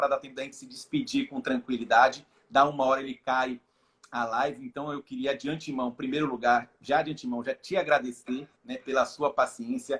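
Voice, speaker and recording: A man with a Bahian accent speaks at a fairly quick pace. His fairly high pitch shows ordinary variation. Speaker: live stream host. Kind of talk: casual chat. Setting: Instagram live video call.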